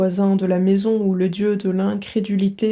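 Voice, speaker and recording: A woman speaks at a very slow pace in a medium-pitched voice. Her tone is dark and mellow, and somewhat breathy. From Belgium. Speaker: French teacher / book reader. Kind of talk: literary audiobook reading.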